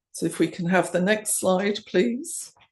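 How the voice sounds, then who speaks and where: Against a quiet background, a woman with an English accent talks at a fairly slow pace, her fairly low voice held to fairly even intonation. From England. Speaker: coaching supervisor. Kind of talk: conference presentation.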